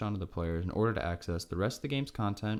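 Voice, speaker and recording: A man with a fairly low pitch and an American accent talks at a very fast pace, his pitch varying in an ordinary way. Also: very clean recording, silent background. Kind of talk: game review narration.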